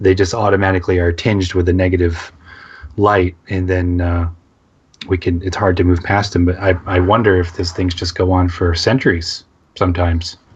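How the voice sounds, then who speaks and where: Breathing audibly at times, a man speaks fairly quickly in a very deep, low voice. His intonation is flat and monotone. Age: 30s. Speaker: radio co-host. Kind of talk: casual chat.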